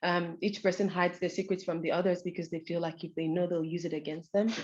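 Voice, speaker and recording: A woman speaks at a very fast pace. Her pitch is medium. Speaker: researcher presenting a study. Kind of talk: conference presentation. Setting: event with audience.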